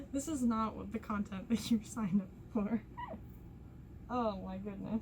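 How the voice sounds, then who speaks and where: A woman's moderately paced talking comes with noticeable background noise. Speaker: lifestyle vlogger. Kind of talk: casual chat. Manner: stuttering at times.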